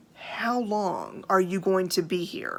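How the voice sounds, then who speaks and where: A woman performs a put-on character voice at medium pitch. She goes at a fairly slow pace with fairly even intonation. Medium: solo performance. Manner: stern, curt, irritable.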